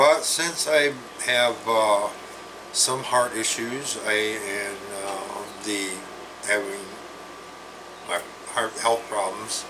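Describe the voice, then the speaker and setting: A man at a medium pitch and a very slow pace, with long, frequent pauses and ordinary pitch variation, amid noticeable background noise and audible room echo. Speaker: health vlogger. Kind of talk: casual vlog monologue. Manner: halting, many fillers and restarts.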